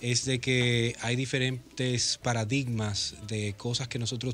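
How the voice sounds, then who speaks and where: Faint music plays in the background as the speaker talks with fairly even intonation. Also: man. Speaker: radio guest. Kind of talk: interview answer. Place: studio. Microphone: studio mic.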